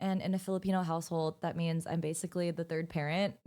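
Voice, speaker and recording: A woman with an American accent and a fairly low pitch speaks at a fairly quick pace in a plain, everyday voice, captured on a very clean recording against a silent background. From United States. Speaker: beauty vlogger. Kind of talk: makeup tutorial chat. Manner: casual, chatty.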